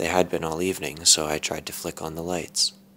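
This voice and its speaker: The pace of the speech is moderate. Behind it, music can be heard. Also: man. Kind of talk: creepypasta horror story reading.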